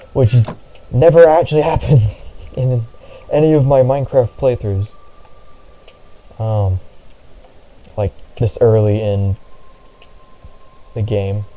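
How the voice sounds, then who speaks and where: Mumbling at a fairly slow pace with long, frequent pauses, a man at a medium pitch and ordinary pitch variation is heard over noticeable background noise. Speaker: gaming vlogger. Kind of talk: casual gameplay commentary. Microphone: poor-sounding mic.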